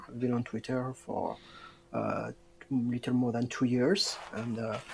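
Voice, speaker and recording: With a French accent, a man speaks. His pace is very slow. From southwest France. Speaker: football fan podcast guest. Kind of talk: casual chat. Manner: halting.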